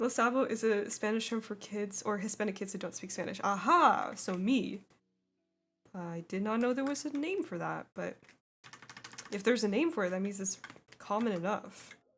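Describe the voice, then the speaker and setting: A woman with an American accent speaks at a moderate pace and medium pitch, with ordinary pitch variation and long, frequent pauses. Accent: very American. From immigrant, raised in US. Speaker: artist streamer. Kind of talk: casual livestream chat reading comments. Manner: animated.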